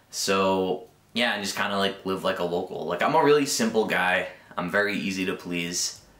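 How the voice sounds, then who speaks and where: Background noise is noticeable here. Over it, a man talks. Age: 20s. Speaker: vlogger. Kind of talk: casual vlog monologue. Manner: rambling filler-heavy, unscripted; occasional stuttering.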